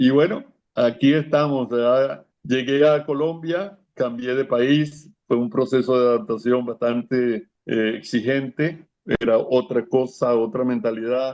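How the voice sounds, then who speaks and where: A man speaks at a very slow pace, his medium-pitched voice showing ordinary pitch variation. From Venezuela. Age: 70s. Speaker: Salesian priest. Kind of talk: interview.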